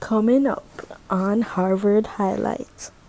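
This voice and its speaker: A woman at a very slow pace, with music in the background. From Jamaica. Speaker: podcast host, Harvard student. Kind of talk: podcast intro.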